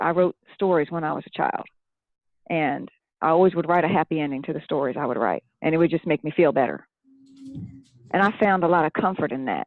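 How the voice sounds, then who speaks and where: Talking at a fairly quick pace with long, frequent pauses, a woman uses a fairly low pitch and ordinary pitch variation. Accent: slight Southern US. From Philadelphia area, Pennsylvania, family from Tennessee. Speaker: children's book author and former teacher. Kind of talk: interview testimony.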